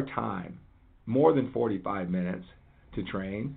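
Energetic in tone, a man speaks. His intonation is lively. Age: 50s. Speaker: fitness coach and podcast host. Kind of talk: motivational monologue.

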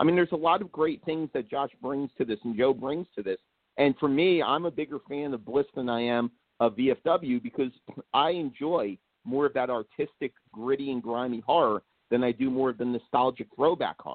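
A man with an American accent and a plain, everyday voice speaks at a moderate pace, fairly high in pitch with ordinary pitch variation. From New Jersey. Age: 40s. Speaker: horror writer and filmmaker. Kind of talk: casual chat.

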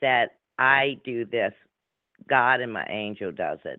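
A woman with a strong New Orleans accent, at a very slow pace. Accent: heavy Louisiana, New Orleans. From New Orleans, Louisiana. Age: 60s. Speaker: radio show guest, psychic medium. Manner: speaks slowly and deliberately.

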